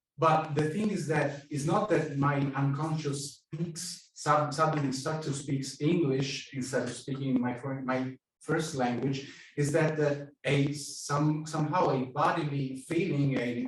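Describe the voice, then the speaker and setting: Over audible room echo, a man speaks at a fairly slow pace. His pitch is fairly high and his intonation fairly even. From Italy. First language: Italian. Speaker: psychoanalyst, audience member. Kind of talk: audience question at a lecture. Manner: halting, many fillers.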